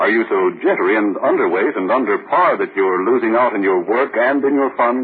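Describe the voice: Lively intonation and a husky, rough edge mark this man's fairly low voice at a fairly quick pace.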